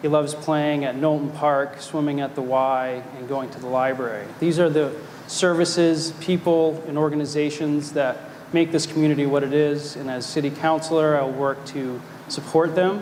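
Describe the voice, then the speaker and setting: A man's fairly high, monotone voice with flat intonation at a moderate pace, amid noticeable background noise and audible room echo. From Maine, South Portland. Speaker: city council candidate, attorney. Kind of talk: candidate forum speech. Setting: stage with live audience.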